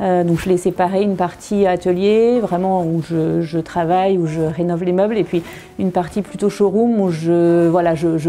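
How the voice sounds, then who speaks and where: Over noticeable background noise, a woman speaks fairly slowly at a medium pitch with fairly even intonation. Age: 30s. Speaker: furniture restorer. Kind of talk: interview. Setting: workshop showroom. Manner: halting, many hesitations.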